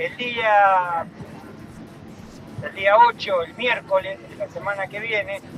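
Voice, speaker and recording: A man with a Rioplatense accent, high-pitched and very slow, with music in the background. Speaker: human rights activist. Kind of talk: announcements.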